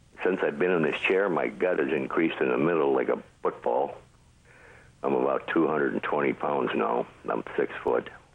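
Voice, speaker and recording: At a moderate pace, a man talks with very even loudness over noticeable background noise. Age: 70s. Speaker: caller. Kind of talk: phone-in health question.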